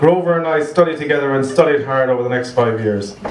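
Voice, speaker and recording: Over noticeable background noise, a man with a Cork accent talks at a fairly quick pace, his medium pitch showing ordinary variation. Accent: Irish, Cork. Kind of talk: best man wedding speech.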